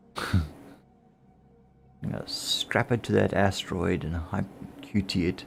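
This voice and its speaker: Mumbling at a fairly slow pace, a man speaks with long pauses that come often. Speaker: gaming streamer. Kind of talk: casual chat.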